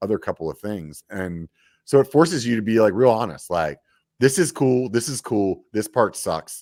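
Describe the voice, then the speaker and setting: With an American accent and an unremarkable speaking voice, a man at a fairly low pitch uses lively intonation in a very clean recording with a silent background and a dry, close sound with no echo. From Pennsylvania, US. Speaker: mountain bike podcaster and YouTuber. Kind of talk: casual interview chat. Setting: live stream. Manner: laid-back, many fillers and restarts.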